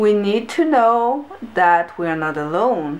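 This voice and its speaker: A woman with a non-native accent speaks at a very slow pace with ordinary pitch variation over noticeable background noise. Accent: non-native accent, getting lighter. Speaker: creative vlogger and artist. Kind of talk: casual vlog monologue. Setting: home bedroom.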